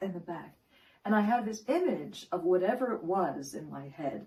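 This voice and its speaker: A woman's plain, everyday voice at medium pitch, with lively intonation. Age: 60s. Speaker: wellness coach. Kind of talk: tutorial.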